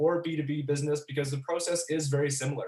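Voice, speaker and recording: With a Canadian accent, a man speaks very fast in a fairly high pitch and a flat monotone, over noticeable background noise. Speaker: business expert presenter. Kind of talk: webinar presentation.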